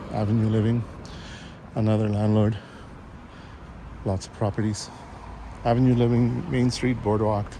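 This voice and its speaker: Soft-spoken and at a fairly low pitch, a man talks at a moderate pace with fairly even intonation, very even loudness, and long, frequent pauses, amid audible room echo and noticeable background noise. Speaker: vlogger. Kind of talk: casual walking vlog narration. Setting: outdoors, walking. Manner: hesitant, with fillers.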